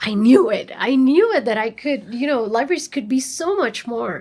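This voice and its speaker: A woman with a Spanish accent speaks at a high pitch and a moderate pace, her intonation lively. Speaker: librarian. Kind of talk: interview. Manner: animated.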